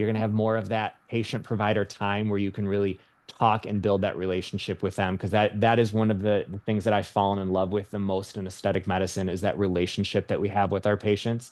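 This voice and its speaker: A man with a Michigan accent talks at a very fast pace with hardly any pauses. His fairly low voice stays monotone and flat. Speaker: nurse practitioner. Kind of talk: webinar presentation.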